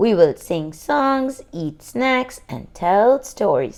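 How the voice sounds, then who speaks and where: A female-sounding, put-on character voice speaks very slowly at a high pitch. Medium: read story.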